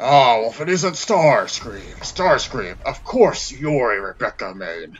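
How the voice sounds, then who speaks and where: Using a put-on character voice, a man speaks at a medium pitch and a fairly slow pace. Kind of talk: comedic gaming parody with character voices. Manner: commanding, pompous.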